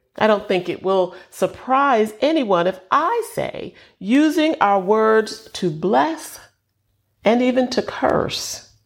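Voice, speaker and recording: In a very clean recording with a silent background, a woman with an American accent speaks very slowly with long, frequent pauses, her fairly high pitch moving in very wide swings. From New York, Southern parents. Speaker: preacher. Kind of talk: sermon.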